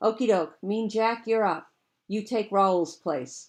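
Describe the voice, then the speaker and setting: A booming, put-on character voice from a woman at medium pitch and a fairly slow pace. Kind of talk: storytelling character voice. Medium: read story. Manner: booming, hollering, mocking.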